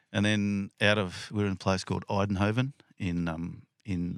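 A man with an Australian accent at a moderate pace, fairly even intonation, a dry, close sound with no echo, and a very clean recording with a silent background. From Western Sydney, Australia. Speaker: police sergeant. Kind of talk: casual interview. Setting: inside a caravan.

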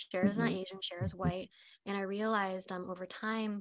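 In a normal speaking voice with an American accent, the speaker talks at a fairly quick pace with fairly even intonation. The recording is very clean, with a silent background. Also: woman. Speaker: actress. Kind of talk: panel discussion.

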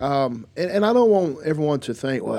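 A man with a Southern accent speaks in a dark, mellow tone. His intonation is lively. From US South, North Carolina. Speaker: pastor. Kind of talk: casual chat. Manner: halting.

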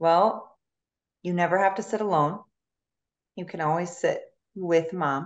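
A woman speaks in a fairly low pitch with fairly even intonation. Her speech is broken by long, frequent pauses. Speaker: guest, hockey mom.

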